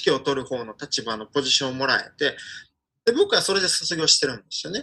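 Here a man talks at a fairly quick pace with a fairly high pitch and lively intonation. His tone is bright and sharp. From Ukraine, with primary and middle school in Osaka. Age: 30s. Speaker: Ukrainian commentator. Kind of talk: interview. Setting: pre-recorded remote interview. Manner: animated.

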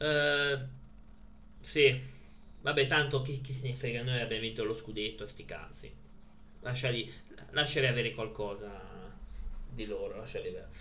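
In a room with audible echo, a man with a bright, sharp tone speaks with fairly even intonation and long, frequent pauses. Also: medium pitch for a man, moderate pace. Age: 30s. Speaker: streamer presenting his DVD collection. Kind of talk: casual live stream chat. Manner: halting.

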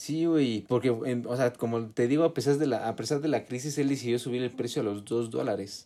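A fairly quick pace with hardly any pauses. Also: man, medium pitch for a man. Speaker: podcast co-host. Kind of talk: casual chat.

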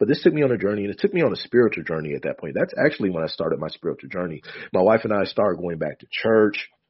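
Talking at a very fast pace, a man with an American accent makes very wide pitch swings. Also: fairly low pitch for a man. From US Midwest, Michigan. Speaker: memoir author and spiritual speaker. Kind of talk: casual interview storytelling. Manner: calm, not easily excited.

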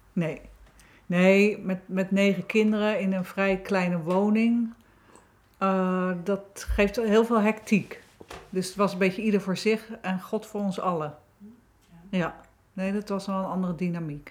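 A woman speaks at a very slow pace in a monotone with flat intonation. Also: medium pitch for a woman. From Netherlands, South Holland (Wateringen). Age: 50s. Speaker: author and therapist. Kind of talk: casual chat.

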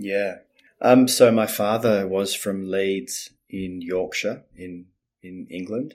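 A man with an Australian accent and fairly low pitch speaks very slowly with fairly even intonation. His loudness swings widely on a very clean recording with a silent background. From Australia, Melbourne. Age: 50s. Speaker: communication coach. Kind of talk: casual interview.

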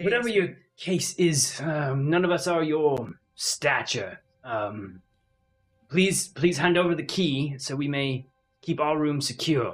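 A gruff, put-on character voice at a middle pitch moves at a fairly slow pace with long, frequent pauses, while faint music plays in the background. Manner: stern, curt.

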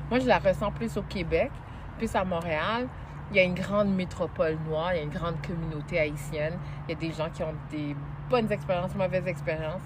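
A woman with a fairly low pitch speaks at a fairly quick pace with ordinary pitch variation, over noticeable background noise and audible room echo. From Montreal, Quebec. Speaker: journalist and TV host. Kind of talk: interview. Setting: outdoors in a park.

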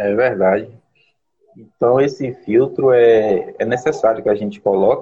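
This man's voice is somewhat breathy, with a medium pitch and fairly even intonation. He talks at a fairly slow pace. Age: 40s. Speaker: postal worker. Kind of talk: casual chat. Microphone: unstable connection.

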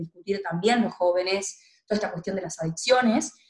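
The speech comes at a very fast pace, somewhat breathy. Intonation stays fairly even. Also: woman. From Argentina, Tucumán (northwest). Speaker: feminist activist and political scientist. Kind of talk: interview.

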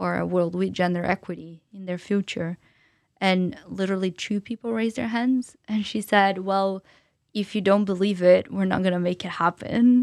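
A woman at a medium pitch speaks at a moderate pace with fairly even intonation, on a very clean recording with a silent background and a dry, close sound with no echo. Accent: Portuguese. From Brazil, São Paulo. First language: Portuguese. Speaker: entrepreneur and public speaker. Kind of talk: interview conversation.

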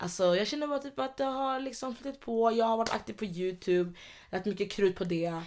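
A woman with fairly high pitch and lively intonation, at a fairly quick pace, on a very clean recording with a silent background. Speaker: podcast co-host, youtuber. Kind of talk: casual chat. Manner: animated.

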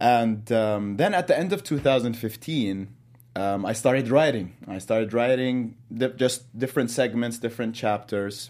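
A man with an Arabic accent at a moderate pace and ordinary pitch variation, on a very clean recording with a silent background. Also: medium pitch for a man. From Jordan. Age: 20s. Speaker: motivational speaker and author. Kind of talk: interview. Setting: studio.

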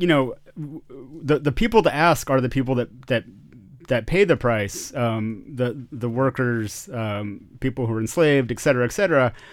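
Lively intonation from a man with a plain, everyday voice, at a moderate pace. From US, Austin, Texas. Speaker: podcast host. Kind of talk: interview.

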